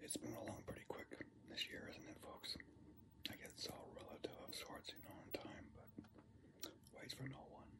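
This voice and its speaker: A soft-spoken man whispers at a moderate pace, with long, frequent pauses over loud background noise. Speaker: vlogger. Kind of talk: casual vlog chat. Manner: soft ASMR whisper while snacking. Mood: relaxed, reflective. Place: home room. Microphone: phone near.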